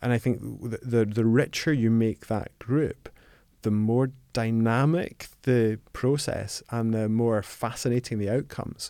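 The voice carries a dark, mellow tone and a Scottish accent. It moves at a fairly slow pace. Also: man, medium pitch for a man, fairly even intonation, very clean recording, silent background. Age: 50s. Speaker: accounting firm co-founder. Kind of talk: interview. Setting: studio.

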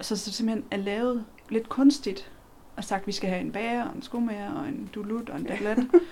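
A woman with a fairly high pitch and a dark, mellow tone talks at a moderate pace. Her somewhat breathy voice shows ordinary pitch variation. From Denmark, near Kolding (southern Jutland). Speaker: co-explorer on a night walk. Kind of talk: casual chat while walking.

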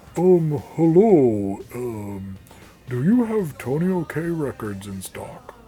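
This is a put-on character voice with very wide pitch swings. The delivery is very slow. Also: man, fairly high pitch for a man. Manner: obviously affected, put-on voice.

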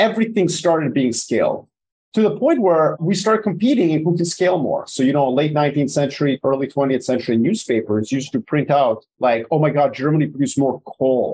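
This man has a dark, mellow, somewhat breathy voice with a fairly high pitch and lively intonation. He talks at a fairly quick pace with hardly any pauses and very even loudness. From Yugoslavia. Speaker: geopolitical strategist and author. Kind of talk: casual interview conversation.

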